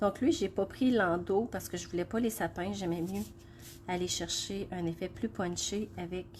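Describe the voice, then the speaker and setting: A woman's somewhat breathy, medium-pitched voice in a Quebec accent, fairly slow, with ordinary pitch variation. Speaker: craft demonstrator. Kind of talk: live craft tutorial. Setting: Facebook live stream. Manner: hesitant, many fillers.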